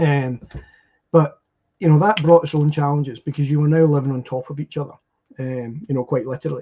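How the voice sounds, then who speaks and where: A man with a Scottish accent and a fairly high pitch speaks at a fairly quick pace, somewhat breathy and dark and mellow in tone, with fairly even intonation. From Scotland. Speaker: podcast guest. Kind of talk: casual chat. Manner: halting.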